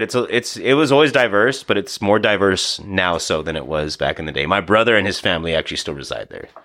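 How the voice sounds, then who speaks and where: A bright, sharp voice in an American accent, fairly quick, with very wide pitch swings. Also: man. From US Pacific Northwest, Seattle (Beacon Hill) then Yakima, Washington. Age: 30s. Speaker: boxing coach and DJ. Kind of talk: casual chat. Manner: loud.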